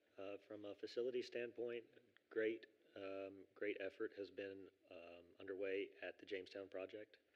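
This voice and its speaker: The intonation stays monotone and flat. It comes from a man whose pitch is fairly low. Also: moderate pace. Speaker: assistant executive director of emergency services district. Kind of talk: board meeting report. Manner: halting, many fillers.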